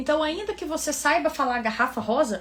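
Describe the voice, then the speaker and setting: A woman speaks with ordinary pitch variation. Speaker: English teacher, environmental engineer. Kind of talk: online tutorial. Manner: casual, conversational.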